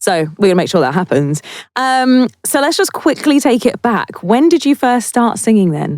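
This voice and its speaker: A woman speaks in a fairly high pitch that swings very widely, her loudness very even. The recording is very clean, with a silent background. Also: moderate pace. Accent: South London. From South London, England. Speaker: podcast host and singer. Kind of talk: interview. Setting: studio.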